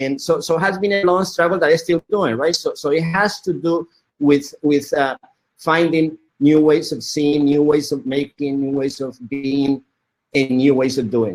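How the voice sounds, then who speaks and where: A man talks with a Spanish accent in a fairly high pitch. His pace is moderate and his pitch variation ordinary. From Colombia. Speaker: media artist. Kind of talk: interview. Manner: halting, many repetitions.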